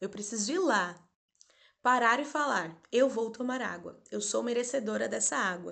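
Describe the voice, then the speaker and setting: A woman with a calm tone speaks with very wide pitch swings over a quiet background. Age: 30s. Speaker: doula and therapist. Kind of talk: spiritual talk and guided meditation. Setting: live stream. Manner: slow, calm.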